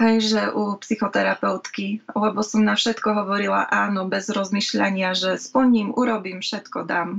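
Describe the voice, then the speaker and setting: Speaking at a fairly slow pace with hardly any pauses, a woman keeps a monotone, flat delivery at medium pitch. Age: 30s. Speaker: mental health peer consultant. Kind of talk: interview. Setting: video call.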